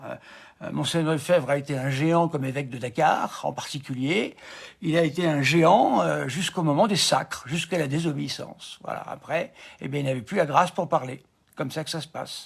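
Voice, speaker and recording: A somewhat breathy male voice, fairly high in pitch, at a moderate pace with ordinary pitch variation. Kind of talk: live stream commentary. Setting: live stream. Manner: hesitant, many fillers.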